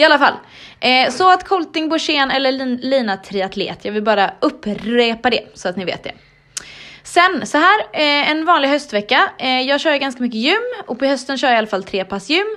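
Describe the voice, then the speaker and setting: Against noticeable background noise, a woman speaks in a raised, projected voice at a high pitch, with very wide pitch swings. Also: moderate pace. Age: 30s. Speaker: podcast host, triathlete. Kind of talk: casual chat.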